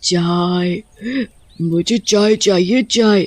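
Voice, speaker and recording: The speaker uses a put-on character voice pitched in the middle range. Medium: audio drama. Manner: demanding, eerie.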